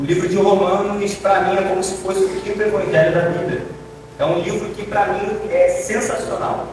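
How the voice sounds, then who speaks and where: A high-pitched male voice, monotone and flat, with audible room echo and noticeable background noise. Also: moderate pace. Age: 20s. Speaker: deacon preacher. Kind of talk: sermon. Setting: church.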